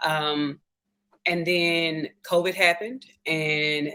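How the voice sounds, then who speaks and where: A woman with a Southern US accent speaks in a very deep, low pitch with fairly even intonation. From US South, Memphis, Tennessee. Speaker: respiratory therapist turned tech sales rep. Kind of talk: interview.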